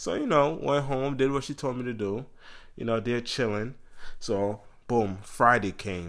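A man at medium pitch talks at a moderate pace in an animated tone, with ordinary pitch variation. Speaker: podcast host. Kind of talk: casual chat.

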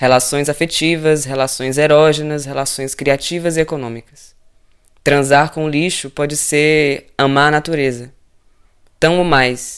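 A man speaks at a fairly slow pace with monotone, flat intonation. The recording is very clean, with a silent background. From Ceará, Brazil. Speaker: radio host, cook and artist. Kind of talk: reading aloud.

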